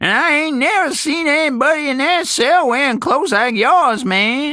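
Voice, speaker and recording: A man puts on a character voice in a Southern US accent, pitched extremely high. He talks at a moderate pace. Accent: Southern American dialect, drops letters. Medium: read story. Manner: repetitive, rambling, folksy.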